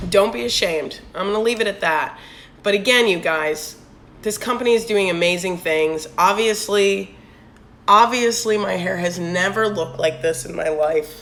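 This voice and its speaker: Using an ordinary speaking voice, a woman talks at a moderate pace with a medium pitch and lively intonation. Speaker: business owner, network marketer. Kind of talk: Instagram live talk with sales pitch. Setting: Instagram live stream.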